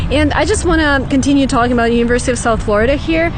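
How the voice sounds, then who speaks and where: A woman with a high pitch talks at a very fast pace with ordinary pitch variation, amid noticeable background noise and audible room echo. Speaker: vlogger. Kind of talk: vlog. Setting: library then outdoors on campus. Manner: whispering.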